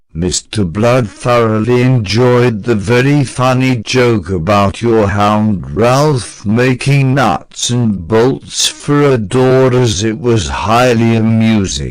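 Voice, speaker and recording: Using a cartoonish character voice, a man talks at a very slow pace and a medium pitch. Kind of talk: comedic interview questions. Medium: puppet.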